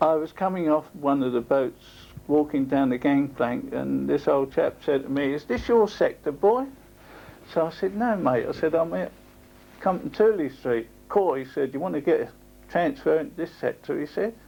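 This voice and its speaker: A man speaks at a fairly high pitch in a dark, mellow tone. He keeps a moderate pace with lively intonation. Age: 60s. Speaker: retired docker. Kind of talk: oral history interview.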